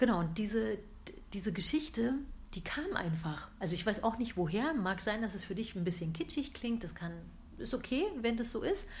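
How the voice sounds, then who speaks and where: A woman speaks at a moderate pace with a fairly high pitch and lively intonation. Her voice is somewhat breathy, and room echo is audible. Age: 30s. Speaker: podcast host, coaching trainee. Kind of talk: casual monologue. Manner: hesitant, many filler sounds.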